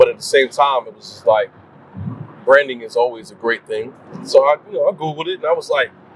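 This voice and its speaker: Over noticeable background noise, a man with an American accent speaks at a fairly quick pace with big swings in loudness. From New Jersey, Paterson. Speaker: R&B singer. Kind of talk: casual chat.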